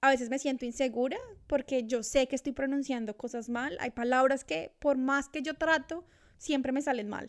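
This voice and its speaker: On a very clean recording with a silent background, a woman speaks at a moderate pace with a high pitch. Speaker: podcast co-host. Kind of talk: casual chat. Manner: animated.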